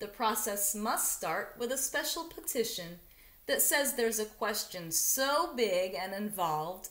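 Natural-voiced reading aloud, its intonation lively throughout

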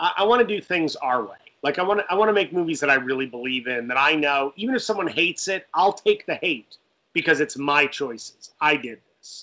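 With an American accent, a man speaks fairly quickly in a fairly high, bright, sharp, animated tone with lively intonation. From Connecticut, US Northeast. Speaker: film director and writer; guest. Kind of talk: casual interview. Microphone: video call.

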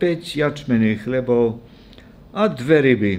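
Fairly slow is the pace of this man's speech. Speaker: preacher. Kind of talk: scripture reading in a sermon. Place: church. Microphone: podium.

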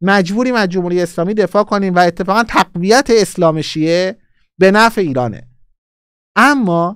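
High-pitched and animated, a man speaks at a moderate pace with ordinary pitch variation, in a dry sound with no echo and a quiet background. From Iran. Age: 40s. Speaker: political YouTuber. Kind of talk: live-streamed political commentary. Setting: live stream. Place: studio. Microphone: studio mic.

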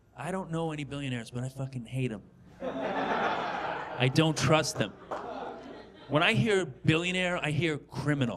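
Over noticeable background noise, a man with a fairly high pitch speaks at a moderate pace with ordinary pitch variation. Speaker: stand-up comedian. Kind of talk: stand-up comedy routine, profane satirical rant building to a mock-outrageous proposal. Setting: stage with audience. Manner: animated, expletive-heavy, escalating indignation. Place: stage. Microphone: handheld.

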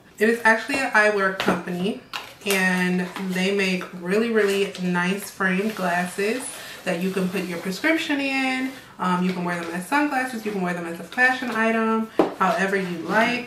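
A woman talks at a moderate pace with ordinary pitch variation while noticeable background noise carries on behind her. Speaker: style vlogger. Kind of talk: casual vlog chat.

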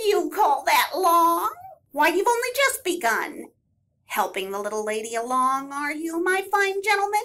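A put-on character voice sounds female and is extremely high. It swings very widely in pitch at a moderate pace. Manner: teasing, sly, later warm.

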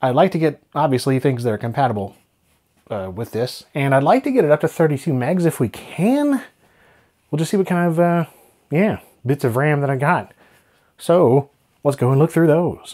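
With a dark, mellow tone, a man talks at a moderate pace, leaving long, frequent pauses against a quiet background. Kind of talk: casual tech vlog commentary. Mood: relaxed, curious. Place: home room.

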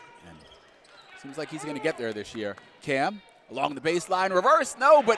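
Through noticeable background noise, a man with a high pitch makes very wide pitch swings. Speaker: play-by-play announcer. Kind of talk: live sports commentary. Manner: excitable, rising on big plays.

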